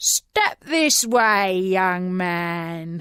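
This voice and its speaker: A woman does a growling, put-on character voice at a medium pitch. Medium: read story. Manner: gruff, curt.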